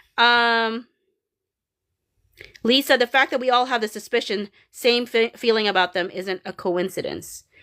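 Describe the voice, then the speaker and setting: A woman with a fairly high, bright, sharp voice talks at a moderate pace with ordinary pitch variation and long, frequent pauses, recorded dry and close with no echo in a very clean setting with a silent background. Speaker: livestreamer, fan channel host. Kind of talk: live stream chat reading comments. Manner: halting, many fillers and restarts.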